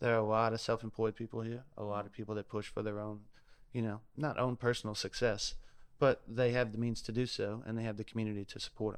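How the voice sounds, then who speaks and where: A man talks at a very fast pace in a Louisiana accent. His medium-pitched delivery is monotone and flat. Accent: Southern US, Louisiana. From South Louisiana. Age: 30s. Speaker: chef and food truck owner. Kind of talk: casual podcast interview.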